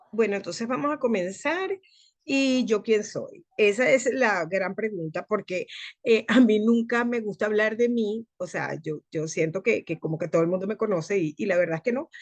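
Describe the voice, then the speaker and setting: Fairly high female voice with lively intonation at a moderate pace. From Venezuela. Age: 60s. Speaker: medical physicist and wellness advisor. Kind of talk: online talk. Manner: hesitant, many fillers.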